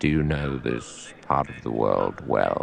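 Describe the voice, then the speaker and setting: A man's put-on character voice, very deep and low, at a fairly slow pace, with clear background noise. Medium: read story. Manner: formal, cautious.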